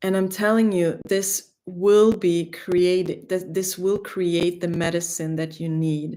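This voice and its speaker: In a German accent, a woman speaks very slowly with hardly any pauses, her fairly low voice dark and mellow and her intonation flat and monotone. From Greece. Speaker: spiritual teacher. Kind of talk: spiritual livestream talk. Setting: livestream.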